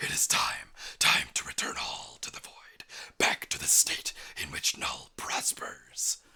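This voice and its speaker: A raspy, extremely high put-on character voice at a fairly slow pace. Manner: ominous, grand.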